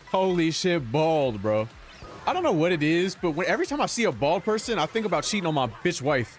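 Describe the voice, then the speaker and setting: Over music in the background, a man with a high pitch talks at a fairly quick pace, with very wide pitch swings and very even loudness. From Canada. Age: 20s. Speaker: streamer. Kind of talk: casual livestream reaction commentary. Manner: animated.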